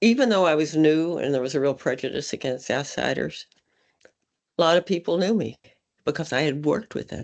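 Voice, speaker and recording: A woman with an American accent and a very deep, low pitch speaks at a moderate pace with vocal fry. Her intonation is lively, and the background is quiet. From Texas. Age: 80s+. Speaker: state senator. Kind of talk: talk to an audience.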